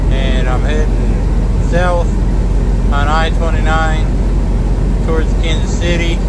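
A man speaks at a very slow pace. Loud background noise runs throughout. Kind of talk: casual vlog chat. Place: car. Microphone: headset.

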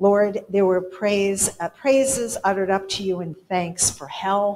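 Over light background noise, a woman speaks at a medium pitch with ordinary pitch variation. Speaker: church service leader. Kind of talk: church announcements and prayer. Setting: church. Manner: warm, casual. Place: church.

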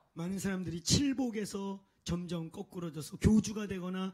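A man's dark, mellow voice proceeds at a moderate pace over a quiet background. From South Korea. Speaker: pastor; preacher. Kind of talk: sermon. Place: church. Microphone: handheld.

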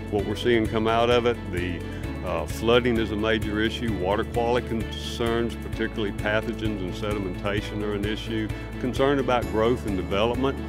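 A man's speech comes at a fairly quick pace. Behind him, clear music can be heard. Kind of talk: interview answer. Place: waterside.

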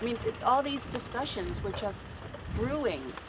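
Over noticeable background noise, a woman with an American accent talks at a fairly slow pace. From Baltimore, Maryland. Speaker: peace activist, sailing crew member; speaker. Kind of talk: public speech. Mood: earnest, recounting alarm. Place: waterside. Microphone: podium.

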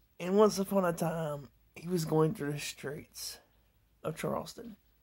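Against a quiet background, a woman talks at a fairly slow pace in a fairly low pitch, her tone dark and mellow and somewhat breathy. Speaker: amateur comedy vlogger. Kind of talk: rambling deadpan stand-up style storytelling monologue. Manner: meandering, self-interrupting, laughs at own jokes; loose, irreverent mock-fairy-tale delivery. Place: home room. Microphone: phone near.

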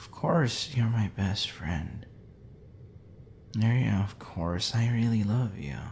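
A soft-spoken man at a fairly low pitch and a very slow pace, with lively intonation, big swings in loudness and light background noise. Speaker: voice actor playing a drunk crush. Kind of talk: audio roleplay monologue. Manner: soft, tipsy, affectionate drunk speech.

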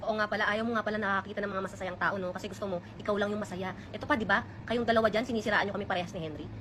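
A woman talks at a very fast pace with a medium pitch and fairly even intonation. Noticeable background noise runs underneath. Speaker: vlogger. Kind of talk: personal storytelling. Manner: stutter.

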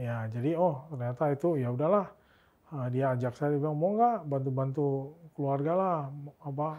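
At a moderate pace, a man speaks in a fairly high pitch with ordinary pitch variation and a dark, mellow tone. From Pontianak, West Kalimantan, Indonesia; West Kalimantan, Indonesia. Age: 30s. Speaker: tech company co-founder; interview guest. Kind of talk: interview; interview answer. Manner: halting. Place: studio.

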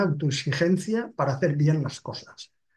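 At a moderate pace, a man with a fairly high pitch speaks in a dark, mellow tone. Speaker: retired head of surgery. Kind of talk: webinar presentation. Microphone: webcam.

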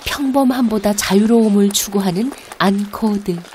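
Noticeable background noise sits behind a woman speaking at a very slow pace. Her pitch is medium, with ordinary pitch variation. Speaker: documentary narrator. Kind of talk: documentary narration.

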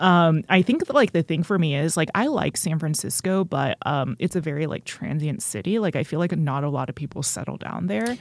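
A woman's very deep, low voice with vocal fry and an American accent, at a fairly quick pace. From North Texas (Richardson). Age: 20s. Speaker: stand-up comedian. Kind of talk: casual interview.

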